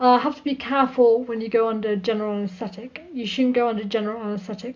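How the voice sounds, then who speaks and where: This woman's fairly high voice is somewhat breathy, moving at a fairly quick pace with ordinary pitch variation. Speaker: video blogger. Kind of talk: casual vlog talk. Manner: sometimes mumbles.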